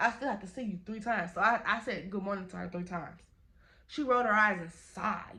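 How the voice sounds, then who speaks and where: A woman speaks loudly at a fairly quick pace, her medium-pitched voice bright and sharp in tone. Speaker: YouTuber telling a story time. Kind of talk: storytime vlog.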